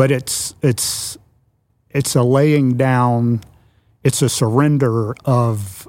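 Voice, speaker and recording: A normal speaking voice from a man with an American accent, medium pitch and fairly even intonation. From US Mid-Atlantic (Washington DC area). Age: 60s. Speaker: church network executive director, pastor. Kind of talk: casual chat.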